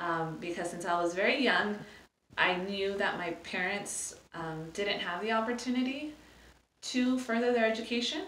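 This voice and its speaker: A woman with a Spanish accent at a medium pitch, moderate pace and ordinary pitch variation, with audible room echo. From California. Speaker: nonprofit program manager. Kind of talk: interview. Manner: hesitant, many fillers.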